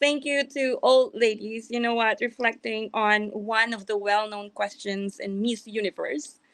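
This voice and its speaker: With a non-native accent, a woman talks at a moderate pace. Her fairly high voice keeps a fairly even intonation. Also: quiet background. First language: not English. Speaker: event host / moderator. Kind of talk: panel discussion wrap-up.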